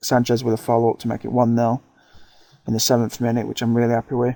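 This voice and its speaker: A man with a dark, mellow tone and medium pitch speaks at a very fast pace, the sound dry and close with no echo and the recording very clean over a silent background. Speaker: gaming YouTuber. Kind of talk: gameplay commentary. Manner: casual, halting.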